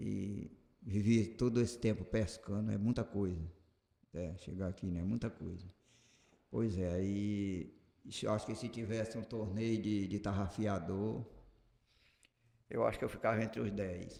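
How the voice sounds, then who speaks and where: A man's fairly low voice at a fairly slow pace, with long, frequent pauses. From Brazil, Acre (Juruá river region). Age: 60s. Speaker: artisanal fisherman. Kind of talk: interview.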